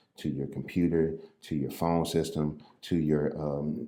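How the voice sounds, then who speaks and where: With an American accent, a man speaks fairly slowly in a very deep, low, dark and mellow voice, his intonation monotone and flat. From US Midwest, St. Louis. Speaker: realtor and real estate investor. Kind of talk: casual tutorial. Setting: standing at desk, impromptu recording.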